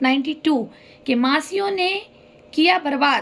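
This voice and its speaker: A woman's high-pitched, very slow speech with ordinary pitch variation. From north India, Haridwar, Uttarakhand. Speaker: vlogger telling her life story. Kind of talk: personal testimony monologue. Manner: emotional, emphatic.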